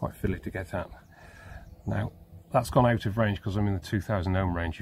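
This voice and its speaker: A man speaks with a very deep, low pitch, vocal fry and ordinary pitch variation, in a dry recording with no echo and light background noise. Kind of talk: tutorial. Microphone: phone near.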